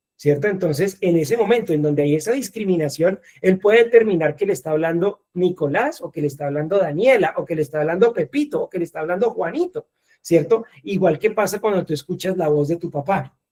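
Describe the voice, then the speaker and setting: A man speaks in a dark, mellow tone. His intonation is lively and his pace fairly quick. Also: dry, close sound with no echo. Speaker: lecturer. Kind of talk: lecture. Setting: video call. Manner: fast, with wide pitch swings; animated.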